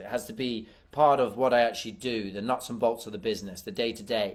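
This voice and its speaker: This man's pitch sits in the medium range. He talks with a British accent. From UK. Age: young. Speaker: adventurer and filmmaker. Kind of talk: interview.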